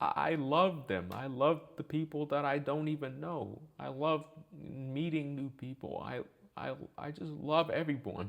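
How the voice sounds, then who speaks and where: At a fairly slow pace, a man speaks with a fairly high pitch. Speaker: gaming youtuber. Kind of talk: personal rant monologue. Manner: flat, straight-faced delivery; hesitant, many fillers.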